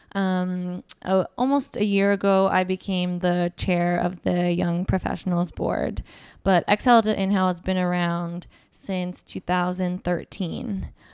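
In an unremarkable speaking voice, a woman with an American accent talks at a fairly slow pace and medium pitch, her intonation fairly even, on a very clean recording with a silent background. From US West Coast, Southern California (Orange County). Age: 30s. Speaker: lawyer and nonprofit board chair. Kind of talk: interview, personal testimony.

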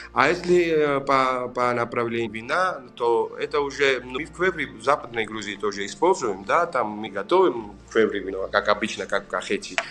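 A man with a Georgian accent at a moderate pace, medium in pitch, with lively intonation and music in the background. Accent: Georgian accent in Russian. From Georgia, Racha region. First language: Georgian (speaking Russian). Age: 40s. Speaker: winemaker. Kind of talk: interview. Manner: halting, searching for words.

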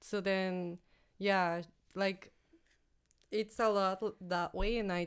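With a Spanish accent, a woman speaks at a very slow pace. Her medium-pitched voice keeps a fairly even intonation. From Mexico. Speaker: office admin. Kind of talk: casual chat. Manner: halting.

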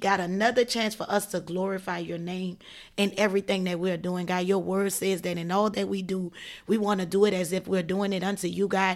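A woman's animated voice at a medium pitch and a fairly quick pace. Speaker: podcast co-host. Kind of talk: casual chat.

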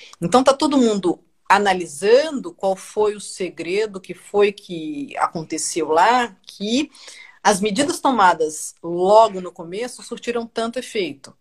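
A woman's medium-pitched voice at a fairly slow pace, with lively intonation and big swings in loudness. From Brazil (Brasília). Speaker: journalist. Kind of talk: casual chat. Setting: video call.

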